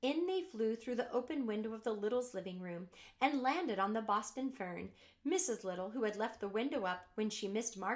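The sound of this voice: The voice is an unforced reading voice. It comes across as an unforced reading voice throughout.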